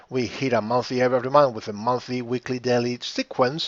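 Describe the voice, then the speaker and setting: At a moderate pace, a man talks in a normal speaking voice of medium pitch. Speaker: trading educator. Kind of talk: tutorial.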